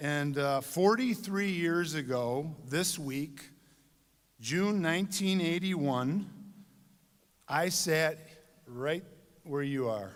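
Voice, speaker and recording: A man with a Michigan accent speaks at a very slow pace and fairly high pitch, with lively intonation and long, frequent pauses. Audible room echo surrounds him. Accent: US Midwest (Michigan). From Michigan, Dearborn. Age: 60s. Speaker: commencement speaker. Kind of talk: commencement speech. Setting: stage with audience.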